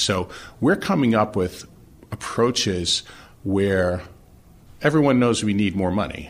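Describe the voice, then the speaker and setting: In an unremarkable speaking voice, a man with an American accent talks at a fairly low pitch and a fairly slow pace with ordinary pitch variation. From New York City (Brooklyn). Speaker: engineering firm executive. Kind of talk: interview.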